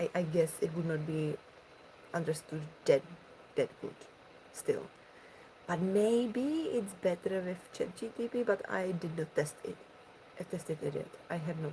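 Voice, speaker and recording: Somewhat breathy, fairly slow speech in a dark, mellow tone, with ordinary pitch variation and long, frequent pauses. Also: woman, medium pitch for a woman. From Czech Republic. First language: Czech. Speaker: ASMR streamer. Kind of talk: casual chat.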